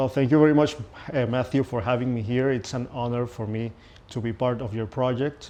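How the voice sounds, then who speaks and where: A man with a Venezuelan accent speaks at a fairly quick pace in a medium pitch, his dark, mellow tone carried on fairly even intonation. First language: Spanish. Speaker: pianist. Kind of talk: interview. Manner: halting, with fillers and repetitions.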